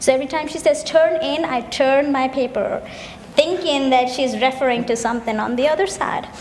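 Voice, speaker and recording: A woman in a Keralan accent, high in pitch with ordinary pitch variation, at a fairly quick pace amid audible room echo and noticeable background noise. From India, Kerala. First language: Malayalam. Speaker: graduate student, festival co-presenter. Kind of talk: scripted stage dialogue.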